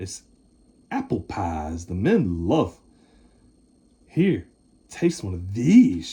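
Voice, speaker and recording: Using a put-on character voice, the speaker goes at a very slow pace with long, frequent pauses. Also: man, fairly low pitch for a man. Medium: read story. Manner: menacing.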